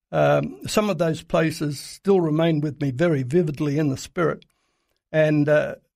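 In an Australian accent, a man speaks at a moderate pace with a fairly high pitch and fairly even intonation. The recording is very clean, with a silent background. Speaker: Middle East reporter. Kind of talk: radio interview. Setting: studio. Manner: halting, many filler uhs.

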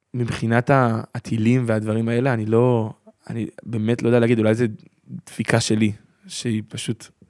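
The speaker is a man. His intonation stays monotone and flat. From Israel, Gaza border kibbutz. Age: 20s. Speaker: interviewee, local resident. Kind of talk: interview.

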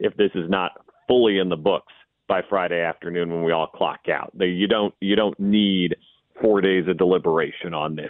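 This man's voice is very deep and low, with fairly even intonation. He speaks at a fairly quick pace. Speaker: sports radio host. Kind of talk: sports talk radio. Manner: halting, many fillers.

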